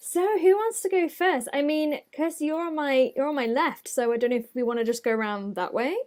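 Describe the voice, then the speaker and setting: A woman talks at a fairly quick pace with hardly any pauses. Her high pitch moves in very wide swings. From Isle of Man. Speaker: country singer-songwriter. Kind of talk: casual chat.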